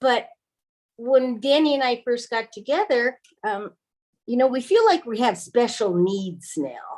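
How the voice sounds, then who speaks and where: A woman speaks in a high voice at a fairly slow pace. Her pitch swings very widely. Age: 60s. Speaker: retired married panel guest. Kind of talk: panel discussion.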